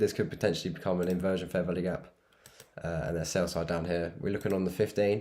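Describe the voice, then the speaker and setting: Talking at a very fast pace, a man uses a very deep, low pitch with a dark, mellow tone. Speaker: trading streamer. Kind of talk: live trading commentary. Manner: casual, hesitant with fillers.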